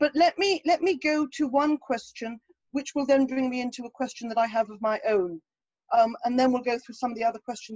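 A woman with an English accent speaks in a high pitch at a fairly quick pace with big swings in loudness, with a dry sound with no echo and a quiet background. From England. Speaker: moderator. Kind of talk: Q&A moderation.

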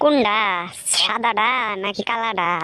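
A cartoonish character voice, female-sounding and fairly high-pitched, over light background noise. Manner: stammering, repetitive.

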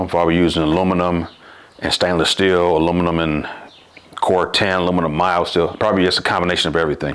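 Very fast and flat, a man talks in a monotone at a very deep, low pitch. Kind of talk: tutorial. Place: workshop.

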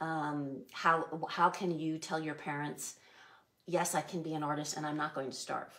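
A woman's very deep, low voice in a flat monotone. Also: quiet background. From US West Coast, San Diego (Chula Vista); California. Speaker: artist and former art teacher; former art teacher. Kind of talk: interview. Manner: thoughtful. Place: home room.

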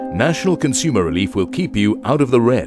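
Over music in the background, a man speaks at a fairly quick pace with a medium pitch. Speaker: voice actor. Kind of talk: TV commercial read.

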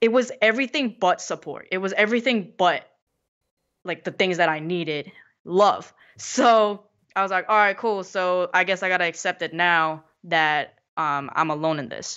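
A woman speaks with a Korean accent at a medium pitch. Her pace is moderate, with ordinary pitch variation. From South Korea, then New York (Queens) from age 10. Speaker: motivational speaker. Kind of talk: casual chat.

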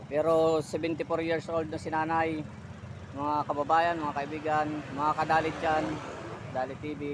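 Noticeable background noise sits behind a man with a fairly high pitch. He speaks at a fairly slow pace with monotone, flat intonation. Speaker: vlogger. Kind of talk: vlog.

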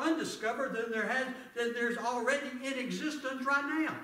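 A man uses a raised, projected voice at an extremely high pitch. He talks at a fairly quick pace amid audible room echo. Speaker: preacher; bible teacher. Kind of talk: Bible teaching class. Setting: church class, livestreamed. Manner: excitable, loud; halting, many fillers. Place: church. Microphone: camera far.

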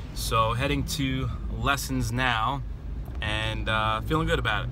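A man speaks in a very deep, low pitch with monotone, flat intonation. The sound is dry with no echo, though noticeable background noise is present. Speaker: voice teacher. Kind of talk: casual vlog chat. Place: car. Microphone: phone near.

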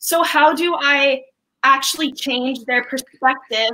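A woman projects a raised, high-pitched voice with a bright, sharp tone and fairly even intonation. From Canada. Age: 20s. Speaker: university student; caller. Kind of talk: casual chat. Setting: video call. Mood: warm, smiling, earnest. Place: home room.

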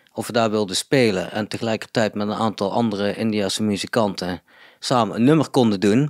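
Here a man speaks at a moderate pace in a fairly low pitch. His pitch varies in an ordinary way, and he has an unremarkable speaking voice. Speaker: electronic music producer in a band. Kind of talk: casual interview chat. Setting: living room.

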